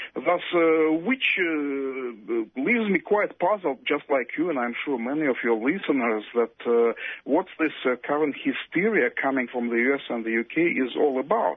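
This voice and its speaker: A man with an unremarkable speaking voice, fairly high in pitch, at a fairly slow pace with hardly any pauses. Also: lively intonation. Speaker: academic on Russia and Ukraine. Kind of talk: interview.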